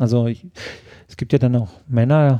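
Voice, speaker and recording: A man's dark, mellow tone carries ordinary pitch variation as he speaks at a moderate pace. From southern Germany, Lake Constance area (Ravensburg). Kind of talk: interview. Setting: kitchen at home.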